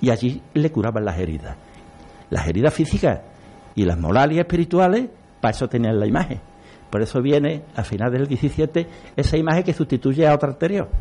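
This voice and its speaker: A man speaks with a dark, mellow tone at a fairly high pitch, with very wide pitch swings and vocal fry. His pace is fairly quick, broken by long, frequent pauses. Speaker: local historian, brotherhood member. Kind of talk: radio panel discussion.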